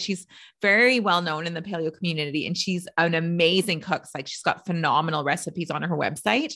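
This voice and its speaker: An unremarkable speaking voice from a woman, fairly low in pitch, with ordinary pitch variation and a fairly quick pace. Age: 40s. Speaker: podcast host and health coach. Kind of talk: casual interview.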